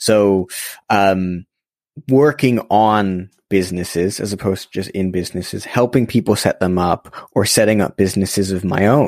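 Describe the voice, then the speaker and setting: Recorded very cleanly against a silent background, the dry, close sound has no echo, and a man with an American accent speaks at a moderate pace. He has a plain, everyday voice, a fairly low pitch and ordinary pitch variation. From Los Angeles, US. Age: young. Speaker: social entrepreneur and podcast host. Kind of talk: casual interview conversation.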